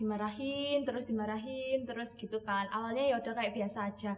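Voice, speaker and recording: A woman is talking. Her intonation stays fairly even. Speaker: youth group member. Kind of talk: casual chat.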